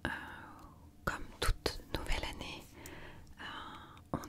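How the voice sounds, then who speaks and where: Over noticeable background noise, a woman whispers at a very slow pace in a calm, gentle tone. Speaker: ASMR creator. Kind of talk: ASMR positive affirmations for sleep. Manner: soft, calm, gentle.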